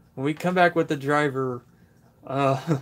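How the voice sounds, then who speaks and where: Mumbling at a moderate pace, the speaker keeps a fairly even intonation. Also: man. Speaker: tool review youtuber. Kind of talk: live stream Q&A. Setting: workshop. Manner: casual.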